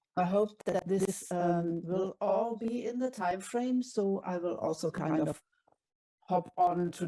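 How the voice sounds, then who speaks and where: A woman speaks in a German accent with a fairly low pitch and ordinary pitch variation. Her tone is dark and mellow. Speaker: curator and professor. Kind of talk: conference presentation.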